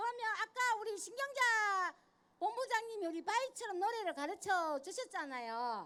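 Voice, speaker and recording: Her voice is raised and projected, pitched extremely high. The woman speaks with lively intonation. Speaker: union member leading exercises. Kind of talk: exercise instruction. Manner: counting aloud rhythmically.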